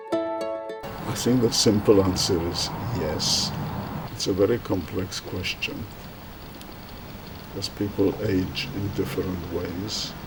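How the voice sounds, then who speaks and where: Over noticeable background noise and audible room echo, a man with a fairly low voice speaks at a very slow pace, with fairly even intonation and long, frequent pauses. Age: 80s+. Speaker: retired doctor. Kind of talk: interview.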